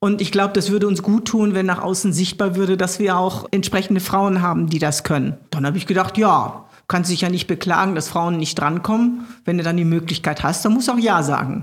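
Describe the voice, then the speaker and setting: A woman's somewhat breathy voice at medium pitch, fairly quick in pace, with ordinary pitch variation. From Ruhr area, Germany (Gelsenkirchen). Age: 60s. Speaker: state politician. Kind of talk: interview.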